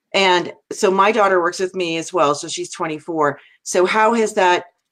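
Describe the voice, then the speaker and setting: In an American accent, a woman speaks in an ordinary speaking voice, fairly low in pitch, with ordinary pitch variation. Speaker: talk show host. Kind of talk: live interview. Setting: live video stream.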